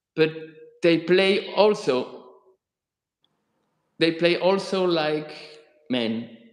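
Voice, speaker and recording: Speaking with a non-native accent, a man uses a high pitch and ordinary pitch variation at a very slow pace, leaving long, frequent pauses. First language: not English. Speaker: author and guitarist hosting a live stream. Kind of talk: live-stream interview. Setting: live YouTube broadcast. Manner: halting.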